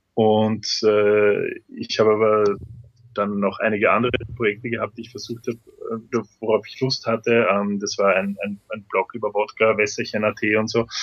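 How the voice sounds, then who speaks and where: At a moderate pace, a man speaks at a fairly low pitch with monotone, flat intonation. His loudness swings widely. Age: 30s. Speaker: videoblogger. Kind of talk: interview. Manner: halting.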